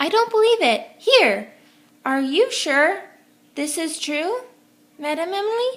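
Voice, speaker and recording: A woman uses a put-on character voice, raised and projected, with an extremely high pitch and very wide pitch swings. She speaks at a fairly slow pace with long, frequent pauses. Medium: read story.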